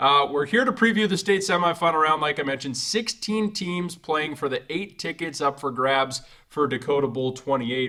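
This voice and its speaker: Speaking at a moderate pace, a man with a fairly high pitch has a bright, sharp tone. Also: lively intonation. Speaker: sports show host. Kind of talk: sports roundtable discussion.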